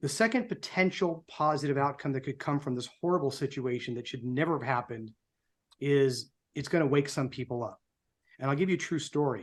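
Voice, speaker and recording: In a quiet background, a man talks at a fairly quick pace with a fairly high pitch. He has an ordinary speaking voice and ordinary pitch variation. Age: 60s. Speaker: political group co-founder and show host. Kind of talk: prepared speech on a live show. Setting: live online show. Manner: somber.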